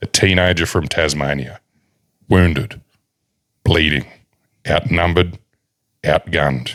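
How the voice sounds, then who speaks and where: Here a man with an Australian accent speaks at a moderate pace. His pitch is very deep and low, his tone bright and sharp, with vocal fry. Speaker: podcast host. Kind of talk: reading aloud. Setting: studio. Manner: dramatic.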